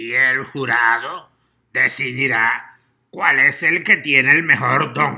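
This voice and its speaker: Using a put-on character voice, a man speaks at a medium pitch. His pace is fairly slow. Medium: read story. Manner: formal, authoritative.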